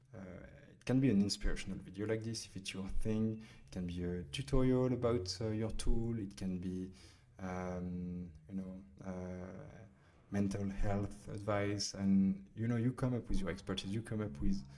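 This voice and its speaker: This man has a French accent and a fairly low, dark, mellow voice with ordinary pitch variation. His loudness swings widely, and the room echo is audible. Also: moderate pace. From France. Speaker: startup founder and CEO. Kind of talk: software tutorial. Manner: hesitant, many fillers.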